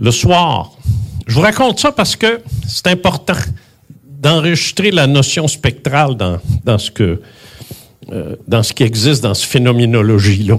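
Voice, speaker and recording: A man with a Quebec accent speaks at medium pitch and a fairly slow pace. His pitch swings very widely, and he takes long, frequent pauses. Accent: Québécois French. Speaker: retired radio host, UFO contactee. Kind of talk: speech at tribute event.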